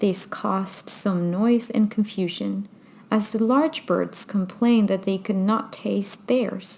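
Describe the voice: Someone reads aloud plainly. Pitch rises and falls the usual amount.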